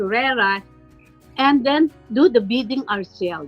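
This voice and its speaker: With music in the background, a woman speaks in a raised, projected voice. Her pitch is high and her intonation lively. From Philippines. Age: 70s. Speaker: retired professor. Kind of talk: interview answer.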